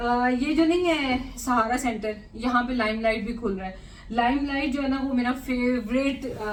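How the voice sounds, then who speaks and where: A woman's high-pitched voice comes through with audible room echo and noticeable background noise. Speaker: lifestyle and cooking vlogger. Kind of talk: casual vlog chat. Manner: chatty, many fillers.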